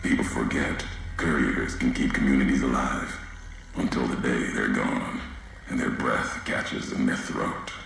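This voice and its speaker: A man performs a put-on character voice at a moderate pace, with a clear echo around it. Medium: machinima. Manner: terse, clipped, ominous.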